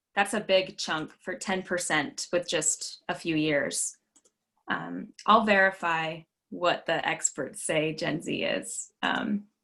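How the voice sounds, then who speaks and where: Very slowly, a woman speaks at a fairly low pitch with ordinary pitch variation, a bright, sharp tone and vocal fry. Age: 20s. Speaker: voter registration trainer. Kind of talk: training presentation. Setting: video call.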